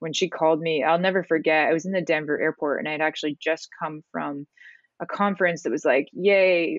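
Speaking with a Canadian accent, a woman uses a normal speaking voice at a fairly low pitch. She moves at a fairly quick pace with ordinary pitch variation. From Canada, small town. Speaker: ice hockey coach. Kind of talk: casual interview.

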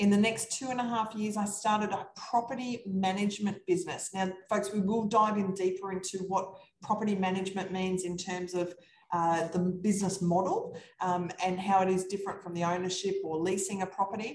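A woman with an Australian accent speaks at a fairly quick pace and a medium pitch, somewhat breathy and monotone. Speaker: real estate investor. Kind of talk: casual chat.

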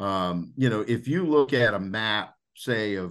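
Someone speaks at a fairly slow pace with an American accent. The background is quiet. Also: man. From Louisiana, US. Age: 40s. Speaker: conservationist and angler. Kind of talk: casual interview. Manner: hesitant with many fillers.

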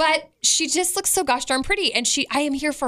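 A woman speaks at a moderate pace in a raised, projected voice, her high pitch carrying a bright, sharp tone. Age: 40s. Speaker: podcast co-host. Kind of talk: casual chat.

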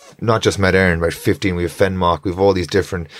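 Very deep and low in pitch, a man talks with a northwest Irish accent. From Ireland, Strandhill, County Sligo. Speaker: surf coach and professional bodyboarder. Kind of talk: casual chat.

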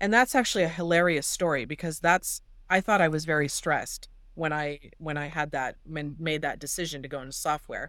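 A woman with a Californian accent talks at a fairly quick pace in a very deep, low pitch, recorded very cleanly against a silent background. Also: ordinary pitch variation. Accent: Californian American. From Los Angeles, San Fernando Valley. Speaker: doctor and tech entrepreneur. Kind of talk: interview.

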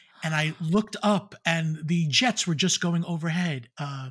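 A fairly high male voice, its pitch varying in an ordinary way. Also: very clean recording, silent background. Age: 50s. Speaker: Disney YouTube personality. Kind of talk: casual chat. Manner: animated.

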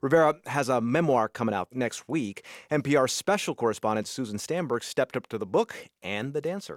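An unremarkable speaking voice: a man at medium pitch, talking at a moderate pace with lively intonation and hardly any pauses. The recording is very clean, with a silent background. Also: dry, close sound with no echo. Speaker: radio news host. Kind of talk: interview.

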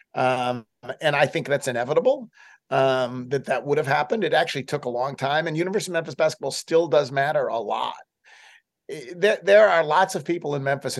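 Against a quiet background, a man with a normal speaking voice talks at a moderate pace, with a fairly high pitch and ordinary pitch variation. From US, Buffalo, New York. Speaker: sports columnist. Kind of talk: interview.

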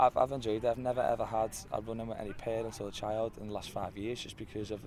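Over noticeable background noise, a man with a Liverpool accent talks very fast at a medium pitch, his intonation monotone and flat. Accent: Scouse. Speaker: youth football coach. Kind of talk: interview. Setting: football ground.

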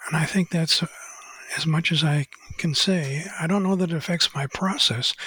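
With a high pitch and fairly even intonation, a man speaks at a moderate pace. The sound is dry and close with no echo, though noticeable background noise is present. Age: 80s+. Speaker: author and photographer. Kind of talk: interview. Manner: halting.

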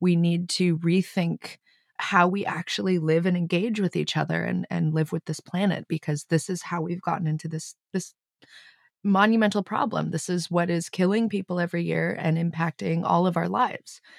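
Fairly low in pitch, a woman speaks at a moderate pace in an ordinary speaking voice with an American accent and fairly even intonation. The recording is very clean and silent behind her, with a dry, close sound and no echo. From US, Los Angeles, California. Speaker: filmmaker and former youth climate activist. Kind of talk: interview.

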